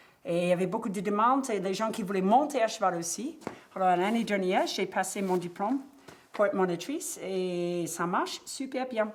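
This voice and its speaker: A woman's medium-pitched voice with an American accent, at a moderate pace with lively intonation. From US, Cape Cod. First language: English (speaking French). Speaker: horse riding instructor. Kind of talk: documentary interview.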